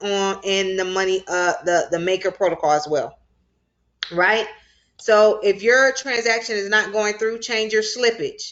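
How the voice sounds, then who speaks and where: A woman with an unremarkable speaking voice talks at a fairly slow pace, her medium pitch held to fairly even intonation. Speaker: crypto finance instructor. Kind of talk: online class tutorial. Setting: video call with screen share.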